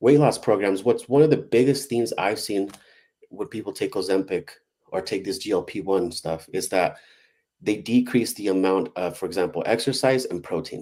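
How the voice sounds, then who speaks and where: Medium-pitched male voice, dark and mellow in tone, with ordinary pitch variation. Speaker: wellness science researcher. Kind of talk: live community call presentation. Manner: fast.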